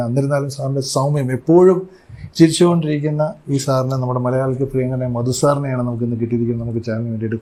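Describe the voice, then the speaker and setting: A man uses a normal speaking voice, his medium pitch moving in fairly even intonation. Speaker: chat show host. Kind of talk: interview questions.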